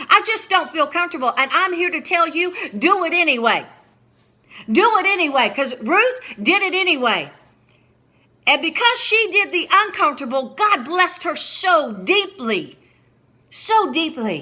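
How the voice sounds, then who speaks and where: A woman with an extremely high pitch speaks in a raised, projected voice with an animated tone and very wide pitch swings. She leaves long, frequent pauses. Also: moderate pace. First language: not English. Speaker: preacher and author. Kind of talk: sermon.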